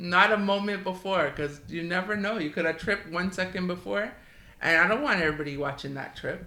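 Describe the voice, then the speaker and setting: Over noticeable background noise and audible room echo, a woman speaks at a fairly quick pace with ordinary pitch variation. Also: medium pitch for a woman. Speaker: podcast co-host. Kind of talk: casual chat. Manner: fast; chatty.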